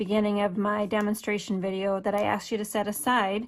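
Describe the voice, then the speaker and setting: A moderate pace with a slight northern US accent. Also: woman. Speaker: craft demonstrator. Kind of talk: tutorial.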